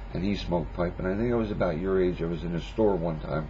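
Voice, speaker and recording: Fairly quick delivery, with audible room echo and noticeable background noise. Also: man. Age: 50s. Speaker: pipe smoking vlogger. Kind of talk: casual monologue response video. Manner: halting, many fillers.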